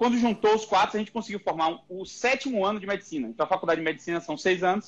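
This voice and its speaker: A man with a high-pitched voice talks at a very fast pace, using ordinary pitch variation. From Brazil, Bahia (Salvador). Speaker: neurosurgeon. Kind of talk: podcast interview.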